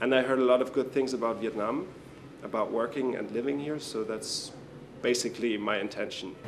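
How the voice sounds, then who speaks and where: Spoken at a fairly quick pace in a German accent, the voice carries ordinary pitch variation amid audible room echo. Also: man, medium pitch for a man. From Germany. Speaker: international intern. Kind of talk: interview.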